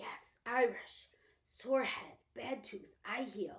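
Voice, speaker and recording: A female-sounding put-on character voice, raspy and high-pitched for a woman. The pace is very slow. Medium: read story. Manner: terse broken English.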